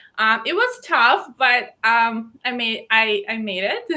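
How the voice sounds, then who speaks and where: A woman's raised, projected voice, bright and sharp in tone, fairly slow, with very wide pitch swings. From Belarus. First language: Belarusian. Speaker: fashion designer and pageant titleholder. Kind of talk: interview.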